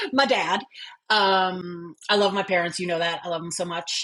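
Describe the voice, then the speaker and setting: Over a quiet background, a woman with a slight New Jersey accent speaks at a fairly low pitch. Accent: slight New Jersey accent on some words. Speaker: former corporate leader and tech founder. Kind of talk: interview conversation.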